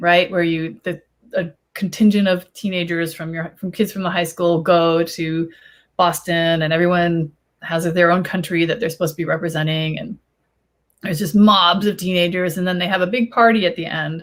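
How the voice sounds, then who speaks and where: A woman with a Chicago accent speaks at a moderate pace in a fairly low voice with fairly even intonation, on a very clean recording with a silent background. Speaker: YA author on panel. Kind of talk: panel discussion. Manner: halting, many fillers.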